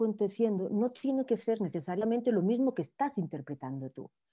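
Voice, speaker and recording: With a Barcelona accent, a woman speaks in a dark, mellow tone with lively intonation on a very clean recording with a silent background. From Spain, Barcelona. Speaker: life coach. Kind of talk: interview.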